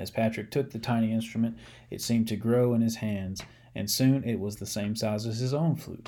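The clip is reading aloud in a natural voice.

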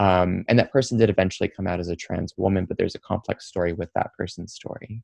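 This man has a very deep, low voice and talks at a very fast pace with hardly any pauses. His intonation is fairly even, and the sound is dry and close with no echo. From US Midwest, Troy, Michigan (Detroit suburb). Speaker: nonprofit executive director and LGBTQ trainer. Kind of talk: interview.

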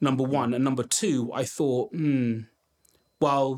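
A man talks in a London accent at a fairly high pitch. His pace is moderate. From London, Brent. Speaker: education entrepreneur. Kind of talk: interview.

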